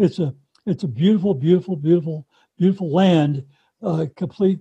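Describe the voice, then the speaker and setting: The man's pitch is high, yet his tone is dark and mellow. The sound is dry and close, with no echo. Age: 80s+. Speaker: widower and author. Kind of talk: interview. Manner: halting.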